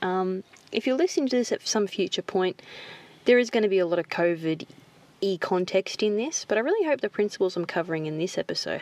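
A woman's very fast speech with lively intonation, dry and close with no echo. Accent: Australian. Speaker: podcast host, marketing coach. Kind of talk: solo podcast monologue.

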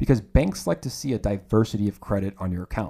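Dark, mellow male tone, very cleanly recorded against total silence. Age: 20s. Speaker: podcast host. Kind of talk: solo podcast talk on personal finance. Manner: upbeat.

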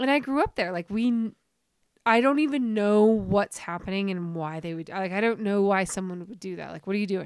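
A woman's plain, everyday voice, medium in pitch with ordinary pitch variation and a fairly quick pace, on a very clean recording with a silent background. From Utah (Centerville, near Salt Lake City). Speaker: nurse and former pro snowboarder. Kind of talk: casual chat.

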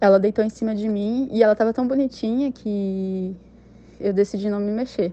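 A woman speaks in a dark, mellow tone. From interior of São Paulo state, Brazil. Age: 20s. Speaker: listener sharing a paranormal experience. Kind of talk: personal testimony.

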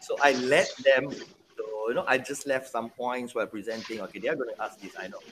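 At a moderate pace, a man speaks with very wide pitch swings amid noticeable background noise. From Penang, Malaysia. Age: 40s. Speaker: podcast host. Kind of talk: casual chat.

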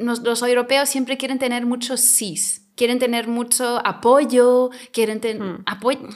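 At a fairly slow pace, a woman speaks in a high pitch with monotone, flat intonation. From Mallorca, raised after moving from Germany as a child. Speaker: film festival director and actress. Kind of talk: interview.

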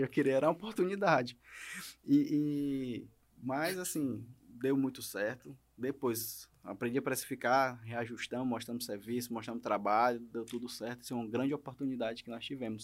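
A man speaks in an ordinary speaking voice at a medium pitch and moderate pace. The recording is very clean, with a silent background. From Maranhão, Brazil. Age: 30s. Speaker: lawyer. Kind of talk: podcast interview. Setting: studio.

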